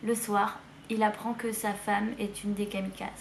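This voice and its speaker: Audible room echo surrounds a woman whose fairly high voice stays monotone and flat. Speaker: book youtuber. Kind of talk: casual book haul video. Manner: hesitant with fillers.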